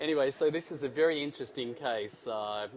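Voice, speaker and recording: Speaking at a fairly quick pace, this man has an Australian accent. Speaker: interventional cardiologist. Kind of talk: live case presentation.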